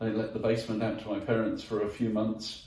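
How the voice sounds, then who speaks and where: In a southern English accent, a man at medium pitch talks at a moderate pace, with audible room echo and noticeable background noise. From southwest London, England. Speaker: entrepreneur. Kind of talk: interview. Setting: garden pavilion at home. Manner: halting, many fillers and restarts.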